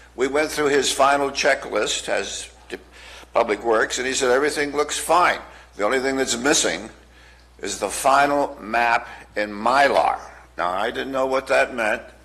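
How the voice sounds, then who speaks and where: Over noticeable background noise, a man at medium pitch talks at a fairly slow pace with ordinary pitch variation. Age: 70s. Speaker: public commenter, elderly veteran. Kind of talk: public comment at county board meeting.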